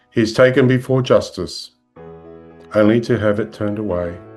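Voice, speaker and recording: Music plays in the background as a man speaks at a moderate pace. His pitch is fairly low. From Australia. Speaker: clergy. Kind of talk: sermon.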